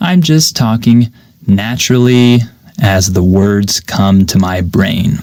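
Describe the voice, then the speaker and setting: At a very slow pace, a man speaks with a fairly low pitch and very even loudness. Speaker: English teacher podcaster. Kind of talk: unscripted podcast monologue. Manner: clear.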